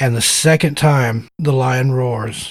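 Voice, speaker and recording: The speaker has a slight Southern US accent. The voice is somewhat breathy. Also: man. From US South. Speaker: podcast host. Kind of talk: casual interview.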